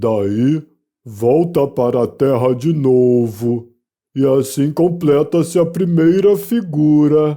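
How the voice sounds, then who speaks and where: A man uses a put-on character voice pitched fairly high. He speaks at a very slow pace. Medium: read story. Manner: mournful, sighing.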